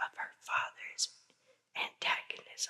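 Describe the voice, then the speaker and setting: Whispering at a fairly slow pace. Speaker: ASMR artist. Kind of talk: ghost story reading. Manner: soft-spoken, whispered.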